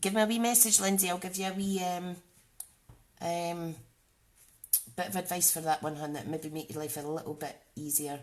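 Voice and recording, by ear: A woman with a Scottish accent and a fairly low pitch, fairly even intonation, long and frequent pauses. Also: moderate pace.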